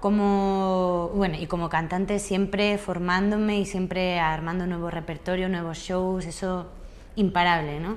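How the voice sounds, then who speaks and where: The speech is fairly slow and delivered in a monotone, flat intonation. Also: woman, medium pitch for a woman. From Andalusia, southern Spain. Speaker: singer and comedian. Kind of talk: interview answer. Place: home room. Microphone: lapel.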